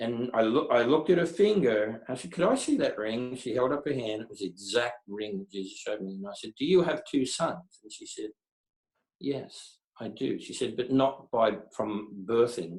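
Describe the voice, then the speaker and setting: With a plain, everyday voice, a man at medium pitch speaks at a moderate pace, using lively intonation and big swings in loudness. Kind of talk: interview answer, personal storytelling.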